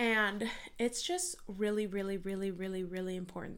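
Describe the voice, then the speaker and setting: A woman speaks with a Californian accent at a medium pitch. Her pace is moderate and her tone animated. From US West Coast (San Diego, California). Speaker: podcast host and mindset coach. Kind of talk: solo podcast monologue.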